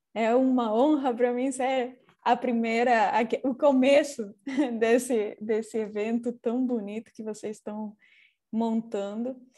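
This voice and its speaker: In a very clean recording with a silent background, a woman speaks very slowly. Her tone is dark and mellow, and her intonation is flat and monotone. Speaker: architect. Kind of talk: architecture lecture. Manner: halting, self-correcting.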